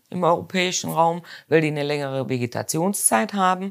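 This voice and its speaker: Someone with a Rhineland accent speaks at a moderate pace in a very clean recording with a silent background. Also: woman. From Rhineland, Germany. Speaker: mustard and spice business owner. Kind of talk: interview. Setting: in a shop.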